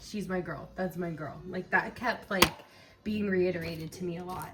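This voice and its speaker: A woman's voice over noticeable background noise. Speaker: tarot reader. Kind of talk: tarot reading for a friend. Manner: fast, filler-heavy; shaky voice.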